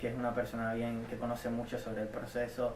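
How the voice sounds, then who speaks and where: A man speaks at a medium pitch in a Cuban accent. Audible room echo and noticeable background noise are present. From Cuba, Havana. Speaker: community college student. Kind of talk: interview testimony. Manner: halting, many repetitions and fillers.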